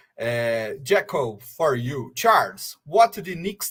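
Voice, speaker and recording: With a Brazilian Portuguese accent, a man talks at a very slow pace while his pitch swings very widely. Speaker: fan channel host. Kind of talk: live stream interview.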